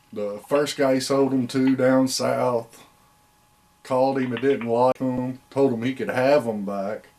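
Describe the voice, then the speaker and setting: Against noticeable background noise, a man with an American accent talks at medium pitch with fairly even intonation. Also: fairly slow pace. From Indiana. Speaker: hound breeder. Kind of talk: interview. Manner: casual.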